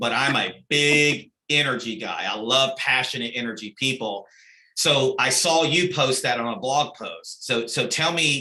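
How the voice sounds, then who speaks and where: A man speaks loudly at a fairly slow pace. His medium-pitched voice has a bright, sharp tone. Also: ordinary pitch variation. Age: 40s. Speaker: podcast host. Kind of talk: podcast interview. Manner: energetic.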